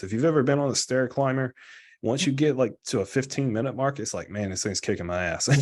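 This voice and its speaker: A man with an American accent uses a normal speaking voice at medium pitch, with ordinary pitch variation against a quiet background. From US South. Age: 20s. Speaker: guest in recovery sharing story. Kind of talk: testimony. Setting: live video stream. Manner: casual.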